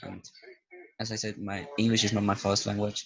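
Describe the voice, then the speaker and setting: A man with a Spanish accent talks at a fairly low pitch. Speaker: YouTuber reviewing paranormal apps. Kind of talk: casual vlog commentary. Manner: hesitant, rambling.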